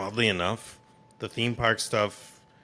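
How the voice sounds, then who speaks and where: Noticeable background noise sits behind this recording of a man. He speaks at a very slow pace with ordinary pitch variation. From Massachusetts, Boston area. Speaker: content creator, theme park and gaming. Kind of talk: casual chat. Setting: podcast interview.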